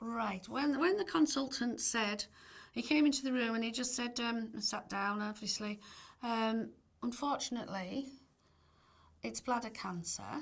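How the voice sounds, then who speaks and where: Speaking with a Cumbrian accent, a woman leaves long, frequent pauses. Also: fairly high pitch for a woman, ordinary pitch variation, moderate pace. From northern England, Barrow-in-Furness, Cumbria. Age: 60s. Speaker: cancer patient. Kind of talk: testimony. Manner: conversational with hesitations.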